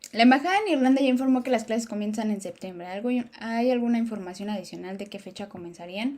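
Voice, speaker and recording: A woman talks at a very fast pace in a fairly high pitch with an animated tone. Her pitch variation is ordinary, and her loudness swings widely. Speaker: YouTuber living abroad, Q&A host. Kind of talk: live stream Q&A.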